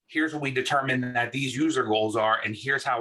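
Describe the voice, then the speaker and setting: A man's medium-pitched voice in a New York accent, bright and sharp in tone, at a fairly quick pace. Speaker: UX design manager. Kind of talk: talk and group discussion. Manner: animated.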